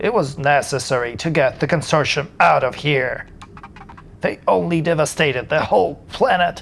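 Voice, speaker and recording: Through clear background noise, a man puts on a character voice pitched fairly high. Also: moderate pace. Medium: game stream. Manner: menacing, mocking.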